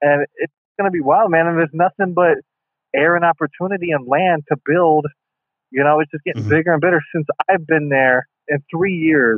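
A normal speaking voice from a man with an American accent, fairly high in pitch, fairly quick, with ordinary pitch variation. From small-town Ohio, US Midwest. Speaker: actor and wrestling performer. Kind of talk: casual interview chat. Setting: remote call, guest at home in Ohio.

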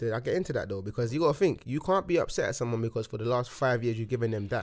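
Very fast and with lively intonation, a man speaks in a London accent at a medium pitch. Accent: London, multicultural London English. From London (Hackney). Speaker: rapper. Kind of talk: casual chat. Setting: studio. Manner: animated.

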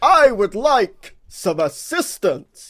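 A man puts on a character voice at an extremely high pitch, raised and projected. His pitch swings very wide. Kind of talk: formal announcer delivery. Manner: projecting, booming, theatrical.

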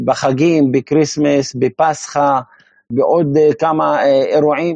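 Monotone, flat intonation at a very slow pace. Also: man. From Upper Galilee, Israel (Maronite, from Bir'im). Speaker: Maronite community member. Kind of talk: interview.

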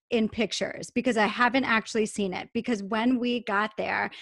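A woman with an American accent and an unremarkable speaking voice, fairly high in pitch, her intonation fairly even, on a very clean recording with a silent background. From Long Island, New York. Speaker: podcast host, personal development. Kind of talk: casual interview chat; guided meditation.

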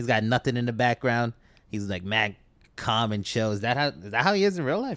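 A man speaks with a New York accent at a medium pitch. His pace is fairly quick and his intonation lively. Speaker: podcast host. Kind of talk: casual chat.

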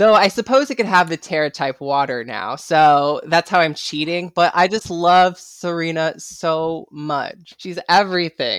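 With lively intonation and an enthusiastic, animated tone, a woman speaks at a fairly slow pace with hardly any pauses. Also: fairly low pitch for a woman. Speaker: TikTok creator and guest. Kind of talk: casual chat.

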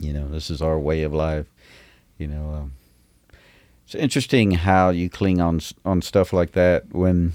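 In a Southern US accent, a man with a very deep, low pitch talks at a moderate pace, with ordinary pitch variation and long, frequent pauses. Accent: Southern US, noticeable. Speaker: singer-songwriter. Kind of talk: casual interview chat. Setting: recording studio.

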